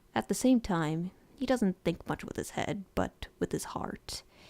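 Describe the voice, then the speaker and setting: With a dark, mellow tone and vocal fry, the voice moves at a moderate pace with ordinary pitch variation in a dry, close sound with no echo. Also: woman. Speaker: animator and vlogger. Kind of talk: video diary talk from notes. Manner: quiet.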